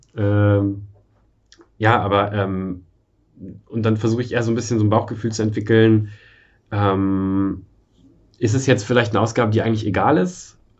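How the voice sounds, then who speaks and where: A man at a moderate pace with fairly low pitch, monotone and flat, with long, frequent pauses and audible room echo. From eastern Germany. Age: 30s. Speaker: software developer and frugality blogger. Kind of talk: casual interview.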